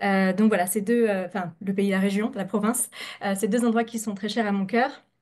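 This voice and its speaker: This voice belongs to a woman. Her intonation stays fairly even. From France. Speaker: scientist, researcher. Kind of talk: scientific presentation. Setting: video call, webinar. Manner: fast; hesitant, many filler sounds.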